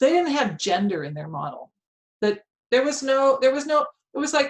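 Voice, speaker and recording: With a high pitch and very wide pitch swings, a woman speaks at a fairly quick pace. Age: 60s. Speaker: economics professor. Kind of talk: lecture Q&A. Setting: video call. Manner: halting with many fillers.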